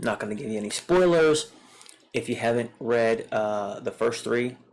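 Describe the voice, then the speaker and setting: The speaker has a slight Southern US accent and talks at a moderate pace. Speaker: comic book reviewer. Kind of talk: casual video review. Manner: casual with frequent fillers.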